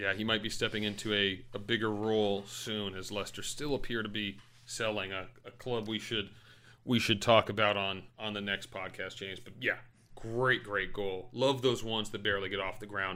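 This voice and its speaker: A man with a bright, sharp tone and a fairly low pitch. He speaks at a moderate pace in a flat, monotone delivery. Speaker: podcast co-host. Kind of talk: casual banter between co-hosts, comedic sports recap. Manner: laid-back, chatty, joking.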